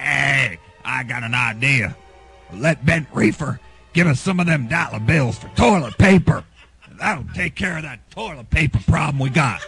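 A man's lively, fairly slow delivery with big swings in loudness, faint music in the background, and a dry sound with no echo. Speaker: rock radio DJ. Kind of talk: rock radio show banter. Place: studio.

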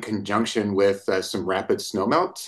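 A man with a normal speaking voice, fairly low in pitch, at a moderate pace against a quiet background. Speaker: remote guest. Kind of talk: interview answer. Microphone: video call.

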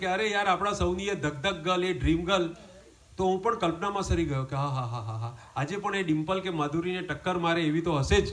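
A man speaks in a high pitch. His intonation is lively. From India, Surat (Gujarat); Gujarat, India. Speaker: comedian. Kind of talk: stand-up. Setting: home gathering with audience. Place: garden. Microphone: pa.

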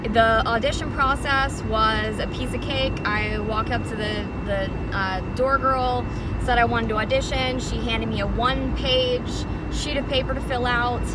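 A woman speaks at a moderate pace, her sound dry with no echo. Loud background noise is present. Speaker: club dancer reviewing a workplace. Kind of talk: casual vlog chat. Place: car. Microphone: phone near.

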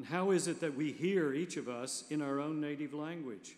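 A man is talking at a moderate pace. His pitch shows ordinary variation. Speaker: preacher. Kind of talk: sermon scripture reading. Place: church. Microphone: podium.

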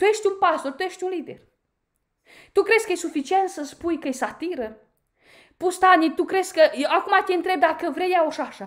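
Against a quiet background, a woman speaks at a moderate pace in an extremely high, animated voice with ordinary pitch variation and long, frequent pauses. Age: 30s. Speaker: YouTuber, commentator. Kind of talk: critical video monologue. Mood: indignant, confrontational. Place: home room. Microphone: phone near.

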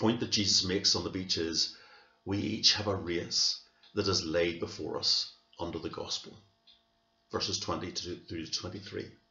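A man at a moderate pace in a room with audible echo and light background noise. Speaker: church minister. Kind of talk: sermon. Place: home room. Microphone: webcam.

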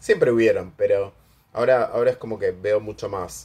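A man speaks with an Argentine accent. His pace is moderate. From Argentina. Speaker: commentator; vlogger. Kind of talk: casual monologue. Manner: hesitant, many fillers. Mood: chatty, gossipy. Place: home room. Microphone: phone near.

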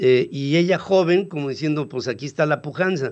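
At a fairly quick pace, the voice sounds slightly mellow and moves with ordinary pitch variation. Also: man, fairly high pitch for a man.

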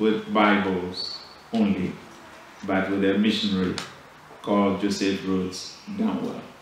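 Strong room echo and light background noise surround a man's fairly low voice with monotone, flat intonation. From Ghana. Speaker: bishop. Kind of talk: formal church address. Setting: church service. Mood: solemn, celebratory. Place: church. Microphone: podium.

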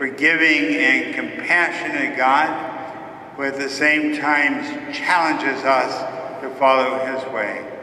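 There is light background noise and audible room echo as a man speaks at a very slow pace. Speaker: priest. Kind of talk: liturgical prayer. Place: church. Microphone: camera far.

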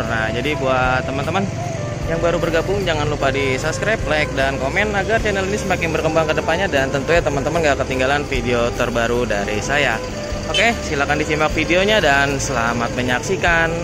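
A man's voice, dry with no echo, over clear background music. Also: fairly quick pace. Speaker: bus-spotting vlogger. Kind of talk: casual vlog commentary. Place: station. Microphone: phone near.

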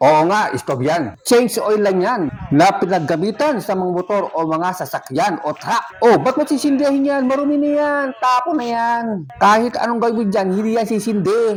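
Against noticeable background noise, a man talks at a high pitch and a moderate pace, with very wide pitch swings and hardly any pauses. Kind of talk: pitchman demo, playful sales pitch for a used-oil stove. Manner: animated, teasing, exclaiming with mock surprise.

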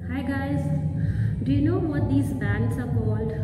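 Music plays in the background as a woman speaks, with audible room echo. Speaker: fitness instructor. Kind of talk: tutorial. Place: gym. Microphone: camera far.

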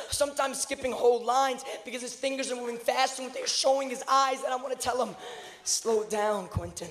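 A man's voice at an extremely high pitch, fairly even in intonation, over noticeable background noise. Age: 20s. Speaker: slam poet. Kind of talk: slam poetry performance. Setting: live stage.

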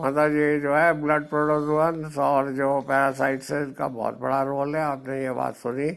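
The delivery has monotone, flat intonation and hardly any pauses. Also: man, fairly high pitch for a man. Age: 70s. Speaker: veterinarian and retired professor. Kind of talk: tutorial.

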